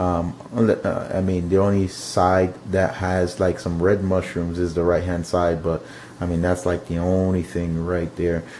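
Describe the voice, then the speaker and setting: A man's very deep, low voice in a monotone, flat delivery at a moderate pace, over noticeable background noise. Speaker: aquarium hobbyist video host. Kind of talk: casual video tour. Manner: halting, many fillers.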